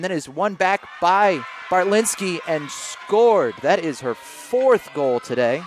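Over music in the background, a man with a high pitch for a man speaks very slowly with very wide pitch swings. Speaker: lacrosse commentator. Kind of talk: live sports commentary. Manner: clipped, excitable.

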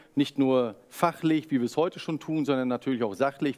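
Against a quiet background, a man talks fairly quickly with ordinary pitch variation. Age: 40s. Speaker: foundation representative, moderator; moderator. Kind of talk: webinar moderation. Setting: webinar. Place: studio.

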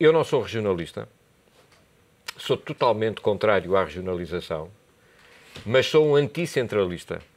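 Pausing long and often, a man talks at a moderate pace with very wide pitch swings and big swings in loudness. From Portugal. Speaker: university lecturer and commentator; university lecturer, commentator. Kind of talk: TV political debate. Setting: TV studio. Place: studio. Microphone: lapel.

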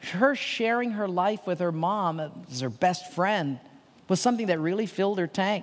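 The man talks at a moderate speed. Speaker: pastor or speaker. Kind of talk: sermon. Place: stage. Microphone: headset.

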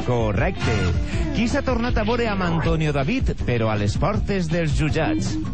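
A man speaks at a fairly slow pace while music plays in the background. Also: very even loudness. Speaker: game show off-screen announcer. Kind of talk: TV quiz show voice-over.

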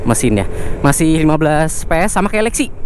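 Fairly slow speech, a dry sound with no echo, and noticeable background noise. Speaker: motorcycle reviewer. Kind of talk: test ride commentary. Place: motorbike. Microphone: helmet.

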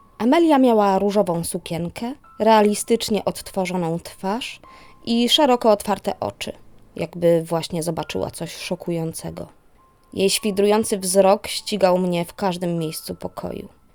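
With music in the background, a woman speaks at medium pitch and a moderate pace, her loudness swinging widely. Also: ordinary pitch variation. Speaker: narrator. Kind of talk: horror story narration.

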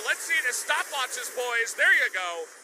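With noticeable background noise behind him, a man speaks in an excited tone at an extremely high pitch. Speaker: esports caster. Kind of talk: live esports commentary. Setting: broadcast. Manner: fast, excited play-by-play; clipped, breathless reactions.

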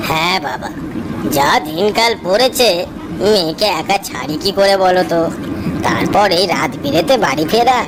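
A cartoonish character voice talks at a middle pitch and a fairly slow pace. Loud noise fills the background. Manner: chatty, affectionate.

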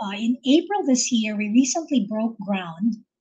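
The pace is fairly slow. The voice is somewhat breathy. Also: woman. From Philippines. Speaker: oil company executive; guest. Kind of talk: interview. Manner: halting. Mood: friendly, warm. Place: home room. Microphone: video call.

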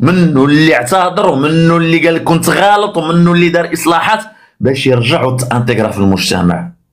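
Against a quiet background, a man with a high pitch speaks at a fairly slow pace. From Morocco. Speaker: social media commentator; political commentator. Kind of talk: political commentary. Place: home room.

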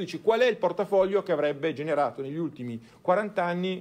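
Using lively intonation and a fairly quick pace, a man talks in an ordinary speaking voice. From Italy, Turin. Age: 50s. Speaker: financial advisor. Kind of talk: conference talk. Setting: stage with audience.

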